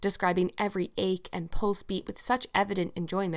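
The reading aloud is plain, with intonation that stays fairly even.

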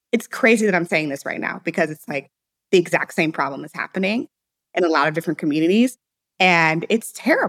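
A woman talks very fast at a fairly low pitch, her pitch varying in an ordinary way while her loudness swings widely, in a dry, close recording with no echo. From US Midwest, St. Louis, Missouri. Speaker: entrepreneur. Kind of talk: interview.

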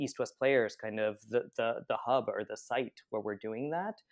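A man with an American accent and an unremarkable speaking voice talks at a moderate pace and medium pitch, in a dry, close sound with no echo against a quiet background. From Pennsylvania, US. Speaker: theater director and playwright. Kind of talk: interview conversation.

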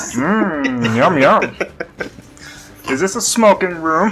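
Very slow, high-pitched put-on character voice from a man. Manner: goofy, laid-back.

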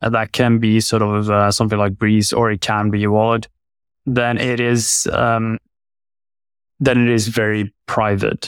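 Fairly slow, flat, monotone speech in a Norwegian accent, at very even loudness, dry and close with no echo, on a very clean recording with a silent background. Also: man, medium pitch for a man. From Norway, Oslo. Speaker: tech company founder. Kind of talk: interview. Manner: hesitant, many fillers.

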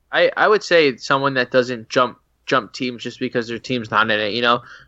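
A man speaks with an ordinary speaking voice at a medium pitch. His pace is moderate. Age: 20s. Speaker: fantasy football podcaster. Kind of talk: casual chat.

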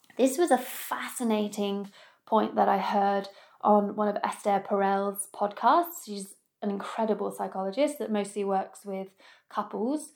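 A woman speaks at a fairly slow pace with a medium pitch and ordinary pitch variation. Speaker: podcast host and youth workshop facilitator. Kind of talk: solo podcast monologue. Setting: home recording. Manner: animated.

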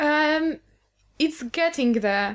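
In a very clean recording with a silent background, a woman talks at a high pitch. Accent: Polish. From Poland. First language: Polish. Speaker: guest. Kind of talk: casual chat.

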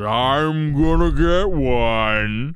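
A man speaks in a put-on character voice. His pitch sits in the medium range. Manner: gruff, menacing.

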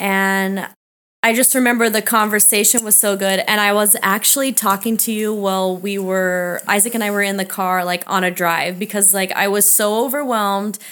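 A woman speaks at a moderate pace and medium pitch. She has an ordinary speaking voice with fairly even intonation. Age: 30s. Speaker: nutrition coach. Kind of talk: casual chat.

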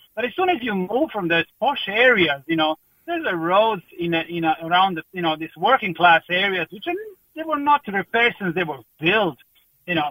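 With a Croatian accent, a high-pitched man speaks in a bright, sharp tone with lively intonation, the sound dry and close with no echo. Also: moderate pace.

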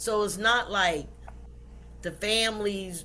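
With a Southern US accent and vocal fry, a woman speaks at a fairly slow pace. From US South, South Carolina. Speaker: pastor and author. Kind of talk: interview.

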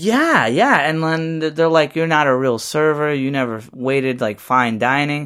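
An ordinary speaking voice, this man talks at a moderate pace with a fairly high pitch, ordinary pitch variation and hardly any pauses. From New Haven, Connecticut, with teen years in Puerto Rico. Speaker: filmmaker and actor. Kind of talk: casual chat.

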